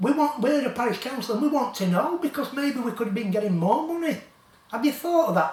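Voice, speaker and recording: A man with a West Yorkshire accent speaks with lively intonation over noticeable background noise. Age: 70s. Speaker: local campaigner vlogger. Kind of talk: rant to camera. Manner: animated; halting.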